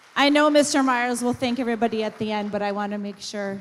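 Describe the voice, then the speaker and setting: A woman speaks with ordinary variation in pitch. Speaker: high school principal. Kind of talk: ceremony speech. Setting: school auditorium with audience, on mic. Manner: loud.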